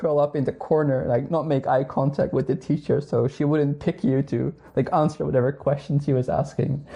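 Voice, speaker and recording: This man has a Dutch accent and a fairly high pitch. He talks at a fairly quick pace with hardly any pauses and fairly even intonation. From northern Netherlands. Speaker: astronomer. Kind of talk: casual interview chat.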